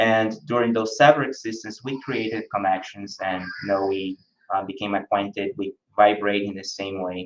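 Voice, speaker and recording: In a Brazilian accent, a man speaks at a moderate pace with a fairly low pitch and fairly even intonation. His loudness shows big swings. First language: Brazilian Portuguese. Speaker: spiritist lecturer. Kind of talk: lecture. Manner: hesitant, with frequent fillers.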